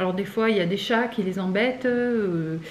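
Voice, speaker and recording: Amid noticeable background noise and audible room echo, a woman talks at a moderate pace with a medium pitch and fairly even intonation. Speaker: vlogger. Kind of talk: casual vlog chat.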